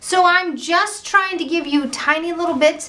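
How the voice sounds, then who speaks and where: A loud woman speaks over noticeable background noise. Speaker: painting tutorial host. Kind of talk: tutorial. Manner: animated.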